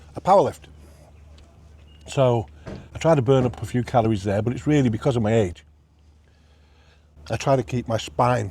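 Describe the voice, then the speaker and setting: A man's medium-pitched, somewhat breathy voice with a dark, mellow tone, lively intonation and a moderate pace. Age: 60s. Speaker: food reviewer. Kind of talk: casual vlog review while eating. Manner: animated.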